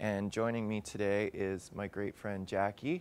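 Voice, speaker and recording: In a dry recording with no echo, a man with a fairly low pitch and an unremarkable speaking voice talks at a moderate pace with fairly even intonation. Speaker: fitness instructor. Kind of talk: workout instruction.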